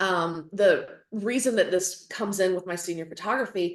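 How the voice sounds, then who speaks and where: With audible room echo, a woman in a strong Southern US accent talks at a moderate pace in a fairly low pitch. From North Carolina. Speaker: photographer and educator. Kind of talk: lecture.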